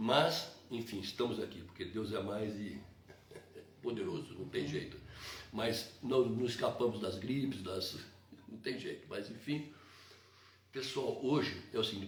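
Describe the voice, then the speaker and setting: A man talks at a moderate pace with lively intonation and long, frequent pauses. The room echo is audible. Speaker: evangelical live stream host. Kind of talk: religious live stream talk. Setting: live stream.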